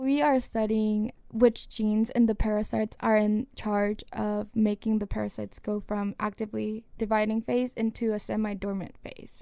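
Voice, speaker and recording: On a very clean recording with a silent background, a woman speaks at a moderate pace in a monotone, flat intonation with hardly any pauses. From South Korea. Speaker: student researcher. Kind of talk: radio interview. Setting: studio.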